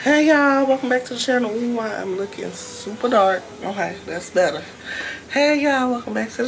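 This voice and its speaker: Fairly quick speech over light background noise. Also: woman. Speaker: vlogger. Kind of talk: casual vlog chat. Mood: cheerful, upbeat. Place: home room. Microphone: phone near.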